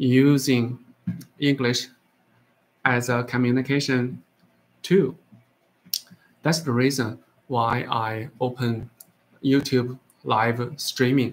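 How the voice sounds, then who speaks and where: This man, speaking with a Chinese accent at medium pitch, goes at a very slow pace with fairly even intonation. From China. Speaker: English learner livestreamer. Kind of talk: casual chat. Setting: livestream talking to AI app. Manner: halting, many fillers.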